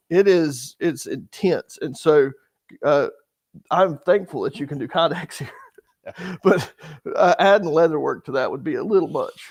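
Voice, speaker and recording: A man with an American accent speaks at a moderate pace, his loudness swinging widely and his speech broken by long, frequent pauses. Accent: North Carolina accent, noted by viewers. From North Carolina, US South. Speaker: knife channel host, bushcraft youtuber. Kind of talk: live stream chat.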